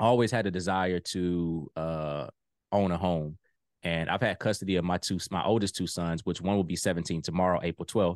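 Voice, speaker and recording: Against a quiet background, a man with an American accent and a very deep, low pitch speaks at a fairly quick pace with fairly even intonation. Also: dry, close sound with no echo. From Virginia. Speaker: business credit and funding coach. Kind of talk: interview.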